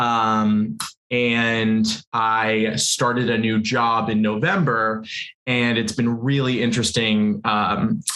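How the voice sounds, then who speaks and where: A man's medium-pitched, bright and sharp voice at a very slow pace, with fairly even intonation, very even loudness and audible room echo. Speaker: panel guest with type 1 diabetes. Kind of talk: casual panel chat.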